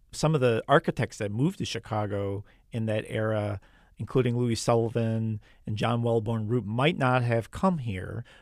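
A man speaks at a moderate pace with an unremarkable speaking voice at medium pitch. The recording is very clean with a silent background, and the sound is dry and close with no echo. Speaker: radio reporter. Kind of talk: radio news feature narration and interview. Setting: studio.

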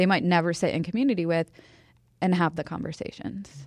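A voice with an American accent comes through on a very clean recording with a silent background. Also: woman. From Boston. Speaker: crafter and activist. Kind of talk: interview. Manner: animated.

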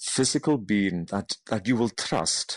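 In a Hebridean accent, a man with a fairly low pitch speaks against a quiet background, the sound dry and close with no echo. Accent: Hebridean Scottish. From Scotland, Outer Hebrides. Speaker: baker and cookbook author. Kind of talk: interview. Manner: calm.

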